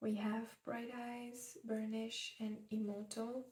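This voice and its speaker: Soft-spoken and somewhat breathy, a woman speaks at a very slow pace with a fairly high pitch and monotone, flat intonation. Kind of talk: ASMR makeup collection talk.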